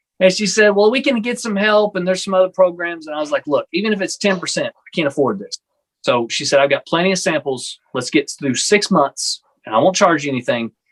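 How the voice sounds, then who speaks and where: Talking at a fairly quick pace in a Texan accent, a high-pitched man uses lively intonation and big swings in loudness, heard dry and close with no echo. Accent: Texan American. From Texas. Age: 30s. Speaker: pastor. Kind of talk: casual chat.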